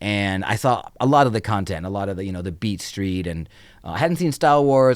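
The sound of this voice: A man's fairly low voice at a fairly quick pace, with ordinary pitch variation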